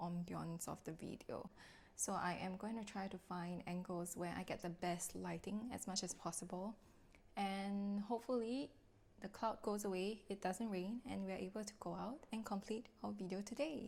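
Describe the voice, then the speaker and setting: Fairly even in intonation, the voice has a somewhat breathy quality. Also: woman. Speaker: lifestyle vlogger and content creator. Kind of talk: casual vlog narration. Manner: slow. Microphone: soft audio, mic setting issues.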